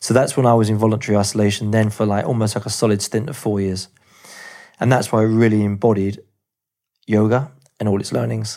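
Talking at a very fast pace with an English accent, a man uses a fairly low pitch, a dark, mellow tone, and fairly even intonation. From England. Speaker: movement teacher. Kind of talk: interview storytelling.

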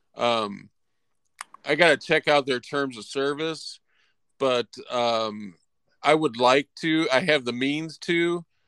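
A man with a US Midwestern accent speaks at a very slow pace with long, frequent pauses, a fairly high pitch with ordinary variation and a bright, sharp tone, the sound dry and close with no echo against a quiet background. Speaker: film podcast co-host. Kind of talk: casual chat.

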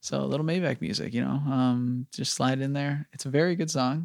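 A man talks at a fairly quick pace in a plain, everyday voice of medium pitch. His pitch varies in an ordinary way, and the sound is dry and close with no echo. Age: 20s. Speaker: podcast co-host. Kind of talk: casual chat.

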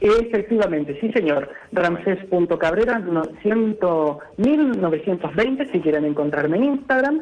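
Over noticeable background noise, a man with a high pitch talks very slowly with hardly any pauses, his loudness very even while his pitch swings very widely. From Canary Islands. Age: 20s. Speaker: translator and interpreter. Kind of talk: interview.

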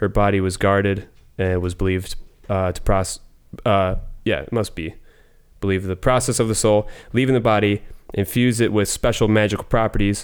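The speech runs at a fairly quick pace with fairly even intonation. Long pauses come often. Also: man, fairly low pitch for a man. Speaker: returning guest. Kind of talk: casual chat.

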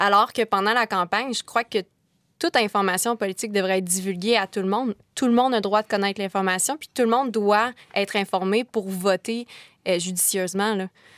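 At a fairly quick pace, a woman speaks with medium pitch. The sound is dry and close with no echo, on a very clean recording with a silent background. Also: fairly even intonation. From Quebec, Kamouraska. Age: 20s. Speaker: law student. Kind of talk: panel discussion.

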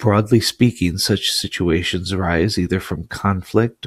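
In a dry, close recording with no echo, a man with a very deep, low pitch speaks fairly slowly and somewhat breathily. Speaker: audiobook narrator. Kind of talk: literary audiobook reading, scripted narration of an essay. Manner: measured, formal, even-paced delivery.

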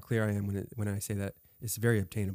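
A man with a fairly low pitch and an ordinary speaking voice talks at a fairly quick pace, the sound dry and close with no echo. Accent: American. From California. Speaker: Airbnb business owner. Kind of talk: casual interview.

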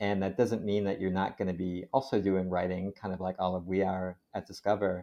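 Over a quiet background, a man with an American accent speaks with hardly any pauses. His very deep, low voice has a dark, mellow tone and monotone, flat intonation. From Connecticut. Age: 30s. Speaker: science magazine editor. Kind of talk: interview.

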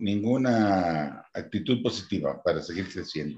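Very wide pitch swings mark this man's speech. He talks at a fairly slow pace. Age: 70s. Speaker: church lay minister. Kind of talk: casual chat.

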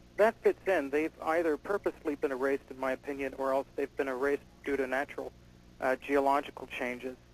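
With a normal speaking voice, a man talks at a fairly quick pace and fairly high pitch, his intonation fairly even, in a dry, close recording with no echo. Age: 30s. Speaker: UFO researcher. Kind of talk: radio interview.

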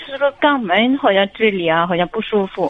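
With a normal speaking voice, a woman talks at a fairly slow pace and a fairly high pitch. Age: 40s. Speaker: caller. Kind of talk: phone-in advice talk.

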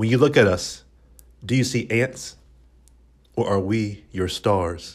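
Speaking at a very slow pace with long, frequent pauses, a man with a fairly low pitch and ordinary pitch variation is heard on a very clean recording with a silent background. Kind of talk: poem performed, spoken-word poetry reading. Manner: measured, contemplative, lyrical.

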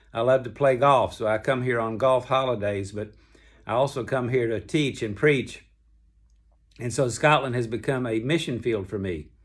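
On a very clean recording with a silent background, a man with a Southern US accent speaks at a medium pitch and moderate pace, with ordinary pitch variation. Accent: Southern American. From US South, Kentucky. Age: 70s. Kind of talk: devotional talk. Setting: hotel room. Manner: relaxed conversational.

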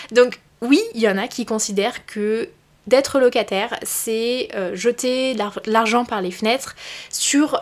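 A woman talks at a very slow pace, her fairly high pitch moving with ordinary variation. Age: 20s. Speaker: podcast host and career coach. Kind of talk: solo podcast monologue. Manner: casual, conversational.

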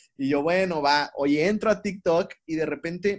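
A man with an ordinary speaking voice talks at a moderate pace, his pitch fairly high and its variation ordinary. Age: 20s. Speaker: psychologist. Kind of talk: casual chat. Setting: remote call.

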